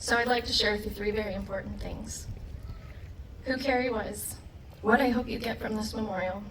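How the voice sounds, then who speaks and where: Over noticeable background noise and audible room echo, a woman with an American accent speaks in a shaky voice at a fairly quick pace, with fairly even intonation and long, frequent pauses. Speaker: war veteran. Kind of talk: memorial speech.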